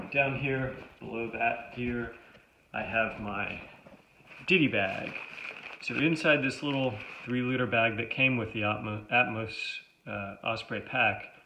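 Light background noise sits under a man speaking at a fairly slow pace with fairly even intonation and long, frequent pauses. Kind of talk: gear overview tutorial. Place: home room. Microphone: phone near.

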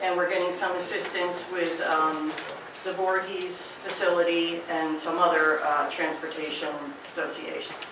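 The speech moves at a moderate pace. Audible room echo and noticeable background noise are present. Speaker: municipal official. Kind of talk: official report. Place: meeting room. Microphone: camera far.

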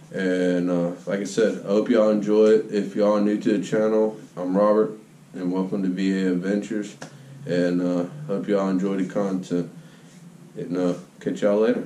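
Amid light background noise and audible room echo, a man speaks at a fairly low pitch and a moderate pace with fairly even intonation. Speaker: channel host. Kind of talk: casual vlog chat. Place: workshop. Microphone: phone near.

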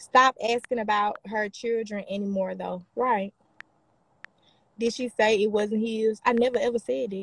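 At a fairly slow pace, a woman with an Alabama accent speaks at a fairly high pitch with fairly even intonation, in a dry sound with no echo. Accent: sounds like Alabama folks. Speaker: social media personality on live stream; livestreamer. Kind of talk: live stream reading and replying to comments; casual livestream chat answering comments. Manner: heated, combative. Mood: defensive, irritated. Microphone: phone near.

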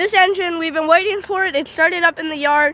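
Her voice is raised and projected, with ordinary pitch variation at a moderate pace. The woman's recording is dry with no echo, over light background noise. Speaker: railfan vlogger. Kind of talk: casual vlog chat. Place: street. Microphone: phone near.

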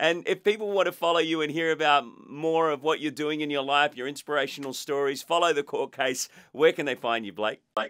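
A man speaks with an Australian accent at a fairly quick pace. His pitch variation is ordinary, and the background is quiet. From Australia (Queensland). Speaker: podcast host. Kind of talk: interview. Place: studio.

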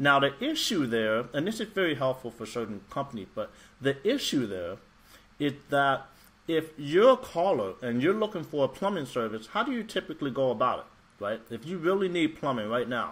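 With very wide pitch swings, a man talks at a moderate pace. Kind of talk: tutorial. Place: home room. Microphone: webcam.

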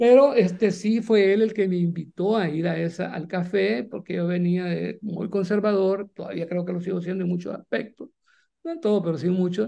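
A man's high-pitched voice with a dark, mellow tone, ordinary pitch variation and a moderate pace. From El Salvador, eastern (Jocoro, Morazán); Morazán, El Salvador. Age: 60s. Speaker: writer and journalist, former guerrilla radio founder; journalist, former guerrilla radio founder. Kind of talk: interview. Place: home room. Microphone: video call.

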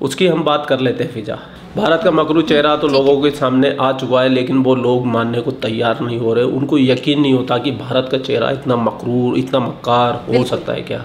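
Moderate pace, hardly any pauses, fairly even intonation, and light background noise. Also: man. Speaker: guest. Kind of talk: satirical debate commentary. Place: home room.

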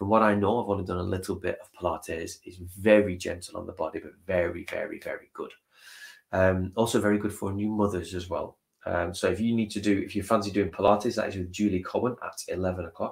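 A man talks at a fairly quick pace with a fairly low pitch and a somewhat breathy voice. His intonation is flat and monotone, and the background is quiet. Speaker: stream host. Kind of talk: casual livestream chat. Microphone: webcam.

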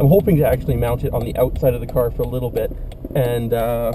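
A man talks at a very fast pace. Light background noise runs underneath. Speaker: vlogger. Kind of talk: casual vlog chat. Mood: excited, upbeat. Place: car. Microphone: camera far.

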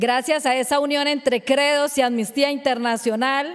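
A high-pitched woman against a quiet background. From Colombia, Barrancabermeja (Magdalena Medio); Colombia. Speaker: fisherwoman and human rights activist. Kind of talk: award acceptance speech. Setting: award ceremony. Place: stage. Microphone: podium.

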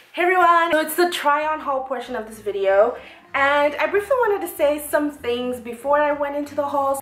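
A woman at a fairly quick pace and high pitch, with big swings in loudness and audible room echo. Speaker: fashion vlogger. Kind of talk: casual vlog chat. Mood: upbeat, reflective. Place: home room. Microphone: camera far.

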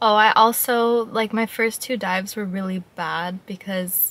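A woman's somewhat breathy voice with fairly even intonation, in a dry sound with no echo. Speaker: vlogger. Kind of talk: casual vlog chat. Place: car. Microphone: phone near.

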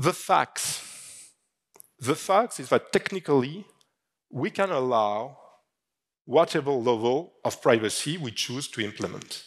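A man speaks with a French accent at a fairly slow pace, his voice fairly high in pitch, with long and frequent pauses against a quiet background. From France. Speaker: fintech industry executive. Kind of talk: conference keynote. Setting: stage with audience. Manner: halting. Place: stage. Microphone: headset.

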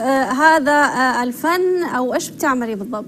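With faint background noise behind her, a woman speaks fast in a high, fairly bright voice with lively intonation.

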